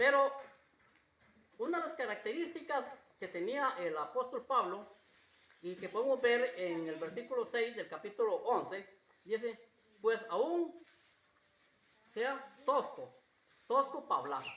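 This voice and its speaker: A man at a fairly slow pace with long, frequent pauses and very wide pitch swings, over noticeable background noise. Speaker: pastor. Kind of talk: sermon. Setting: church. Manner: repetitive, halting.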